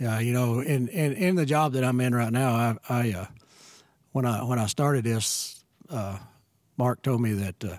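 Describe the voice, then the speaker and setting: A man with a medium-pitched voice speaks at a moderate pace with ordinary pitch variation, stopping often for long pauses. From rural West Texas. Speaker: church member. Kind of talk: casual chat.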